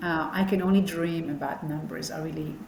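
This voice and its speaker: Over noticeable background noise and audible room echo, a woman with a fairly low pitch speaks at a moderate pace. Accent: non-native. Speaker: podcast host. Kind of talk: interview. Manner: animated.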